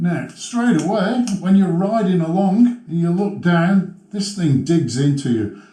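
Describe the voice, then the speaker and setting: Over noticeable background noise and audible room echo, a man with a high pitch speaks at a fairly slow pace. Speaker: motovlogger. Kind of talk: tutorial. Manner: casual, halting with fillers. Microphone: muffled sound during helmet demo.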